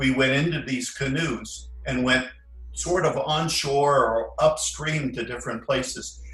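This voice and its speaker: There is music in the background and audible room echo. A man talks at a fairly slow pace. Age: 70s. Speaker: retired former monk recalling his life. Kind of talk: casual interview, reminiscing.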